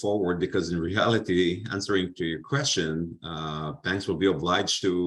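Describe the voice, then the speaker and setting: A man's very deep, low voice with an Israeli accent, ordinary pitch variation and a moderate pace. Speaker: finance panelist. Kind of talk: panel discussion.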